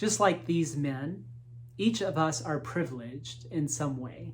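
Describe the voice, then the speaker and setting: With an American accent, a man speaks at a fairly high pitch in a somewhat breathy voice with lively intonation and audible room echo. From Appalachia, US. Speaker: lay leader preaching. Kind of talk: sermon.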